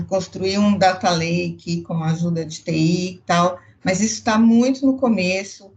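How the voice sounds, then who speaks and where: Speaking at a fairly slow pace, a woman uses an unremarkable speaking voice. Her pitch is medium, with ordinary pitch variation. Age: 60s. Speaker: customer experience executive. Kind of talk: panel discussion.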